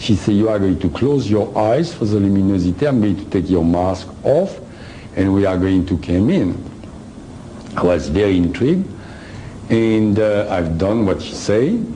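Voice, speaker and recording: A man with a French accent and fairly low pitch speaks at a moderate pace, leaving long, frequent pauses. His pitch variation is ordinary, while audible room echo and noticeable background noise surround him. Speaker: lecturer on personal experience. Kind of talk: lecture. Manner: halting.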